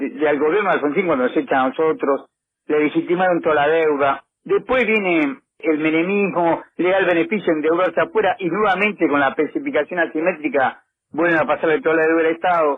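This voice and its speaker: With ordinary pitch variation, a man talks at a fairly quick pace in a high pitch. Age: 60s. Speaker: economist, former government aide. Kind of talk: radio interview.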